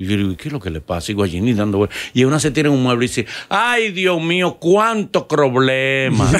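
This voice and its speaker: A man speaks at a moderate pace in a medium pitch, his voice swinging very widely up and down. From Dominican Republic. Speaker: podcast host. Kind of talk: casual interview chat. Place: studio. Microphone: studio mic.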